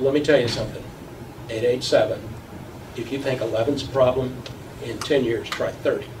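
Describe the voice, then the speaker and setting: The speech carries long, frequent pauses, with noticeable background noise and audible room echo. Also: man, medium pitch for a man. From Texas. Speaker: pediatrician. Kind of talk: public testimony speech. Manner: animated.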